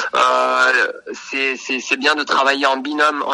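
This man's pitch is fairly high, and he talks at a very slow pace. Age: 30s. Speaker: radiographer. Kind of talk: interview. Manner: halting, many hesitations.

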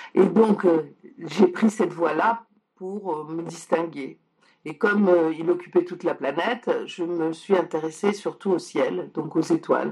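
At a very slow pace, a woman speaks with a fairly low pitch and ordinary pitch variation. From Poland, moved to France at 6. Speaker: science journalist and author. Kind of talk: interview. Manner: halting.

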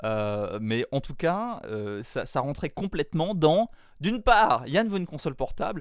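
A man speaks at a fairly slow pace, his voice fairly high-pitched and swinging very widely up and down. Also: very clean recording, silent background. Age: 20s. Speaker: podcaster. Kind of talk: interview.

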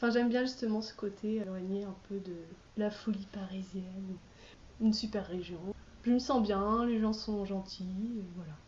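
Somewhat breathy and fairly even in intonation, the voice moves at a fairly slow pace amid audible room echo. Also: woman, medium pitch for a woman. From France, not Brittany. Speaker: comic artist and illustrator. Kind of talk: interview. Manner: casual, hesitant.

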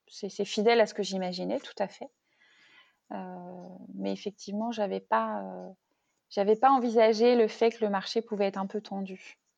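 A woman at a moderate pace, with long, frequent pauses and big swings in loudness, over a quiet background. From Brittany, Rennes area. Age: 30s. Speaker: wine shop owner, former consultant. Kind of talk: interview, casual chat. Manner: hesitant, many fillers.

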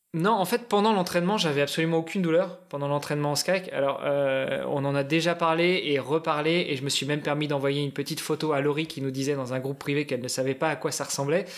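A man talks very fast, with hardly any pauses, at a fairly high pitch. His pitch varies in an ordinary way, and there is noticeable background noise. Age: 40s. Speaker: amateur endurance athlete. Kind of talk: casual chat.

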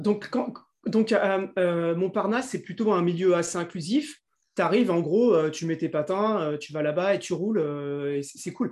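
Here a man talks at a fairly slow pace. His voice is pitched high. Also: ordinary pitch variation. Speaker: podcast interviewer. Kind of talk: interview.

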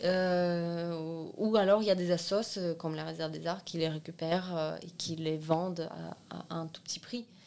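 Amid noticeable background noise, a woman speaks at a moderate pace in a fairly low, monotone, flat voice with big swings in loudness. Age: 20s. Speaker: seamstress and art student. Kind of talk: casual interview.

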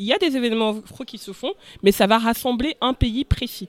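The sound is dry and close, with no echo. It is an unremarkable speaking voice with ordinary pitch variation. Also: woman. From Cameroon, moved to France young. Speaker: podcast panelist, community event organizer. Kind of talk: casual chat.

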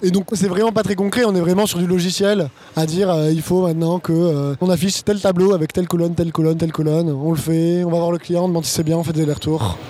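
Against noticeable background noise, a man with a high pitch talks at a very fast pace with hardly any pauses, very even loudness and fairly even intonation. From France, Bordeaux. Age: 20s. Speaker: supply chain consultant. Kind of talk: casual interview chat.

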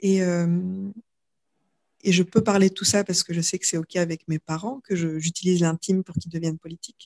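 Fairly low-pitched woman at a fairly quick pace, fairly even intonation, with a dry, close sound and no echo. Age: 30s. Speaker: yoga teacher and author. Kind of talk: casual chat. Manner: halting.

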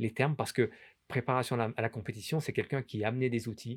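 Recorded very cleanly with a silent background, a man talks at a fairly quick pace. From France, Grenoble. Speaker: former ski champion and coach. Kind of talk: interview. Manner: halting, many repetitions.

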